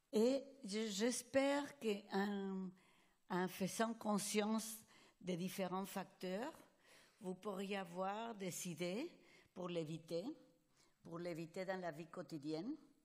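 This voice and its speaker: A woman with a non-native accent talks at a very slow pace and a medium pitch, with ordinary pitch variation and long, frequent pauses. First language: Spanish (speaking French). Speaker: psychologist. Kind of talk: conference lecture. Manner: halting.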